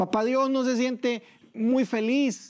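A man talks at a fairly slow pace. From El Salvador. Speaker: pastor. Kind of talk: sermon. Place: church. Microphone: lapel.

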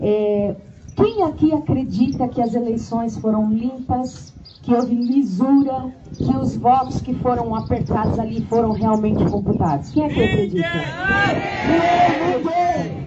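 Over loud background noise, a woman with a fairly high voice talks at a fairly slow pace. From Brazil, Olímpia, São Paulo state. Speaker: lawyer, federal attorney. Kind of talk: political speech at a street protest. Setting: outdoors. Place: street.

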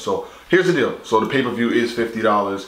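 A man with a fairly bright tone at a fairly quick pace, amid strong room echo.

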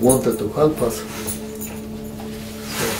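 Noticeable background noise behind a man's voice. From Danzig. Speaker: World War II veteran. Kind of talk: interview answer. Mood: calm, reflective storytelling. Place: home room.

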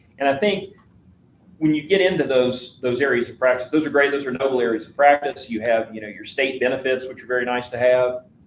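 This man has a Southwest Virginia accent. He talks at a fairly quick pace with ordinary pitch variation. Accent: Southwest Virginia Appalachian. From Southwest Virginia (Richlands). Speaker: attorney. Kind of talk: public hearing testimony. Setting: public hearing room. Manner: halting, many fillers.

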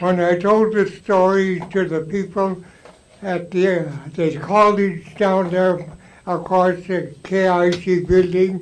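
A man's high, monotone voice, flat in intonation and very slow. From Alaska Native, Tsimshian. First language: Tsimshian (Sm'algyax). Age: 80s+. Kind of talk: storytelling to a live audience. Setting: live event, audience. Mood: warm, reminiscing. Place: hall.

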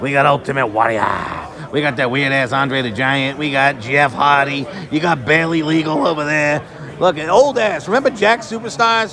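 A man talks at a medium speed while clear background noise is heard. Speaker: toy collector vlogger. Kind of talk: casual vlog commentary. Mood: mocking, crude, laughing. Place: hall. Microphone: phone near.

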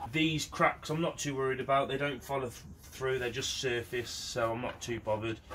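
Over noticeable background noise, the man's pitch varies in an ordinary way. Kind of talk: tutorial. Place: workshop. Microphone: camera far.

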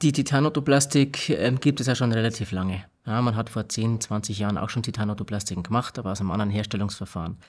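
A man talking at a very fast pace with hardly any pauses and ordinary pitch variation. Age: 30s. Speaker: hearing technology company technical manager. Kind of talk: interview. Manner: halting, many filler sounds. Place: studio. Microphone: studio mic.

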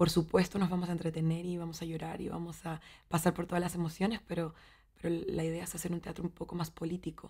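Someone talks at a fairly quick pace over a quiet background. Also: woman. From Chile, Valdivia; Chile. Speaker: actress and theatre teacher; actress, theatre teacher. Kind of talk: interview monologue. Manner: halting, with repetitions and fillers. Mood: warm, thoughtful. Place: studio.

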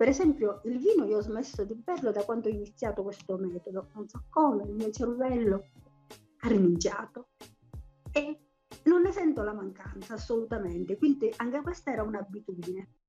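Pausing long and often at an otherwise moderate pace, a woman speaks at a fairly high pitch over faint music in the background. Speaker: interviewee, diet client. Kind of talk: interview answer. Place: home room. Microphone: video call.

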